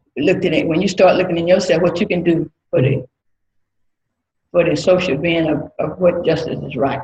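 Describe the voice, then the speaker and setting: A woman with a Mississippi accent, fairly low pitch, dark, mellow tone, somewhat breathy, ordinary pitch variation and a moderate pace. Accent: Southern US (Mississippi). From US South, Mississippi. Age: 60s. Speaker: church member. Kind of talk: testimony.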